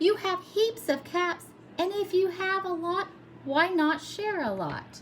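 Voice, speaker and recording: In a put-on character voice, a woman speaks at an extremely high pitch with a warm tone and a fairly slow pace, with clear background noise behind her. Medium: read story. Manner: warm, reasonable.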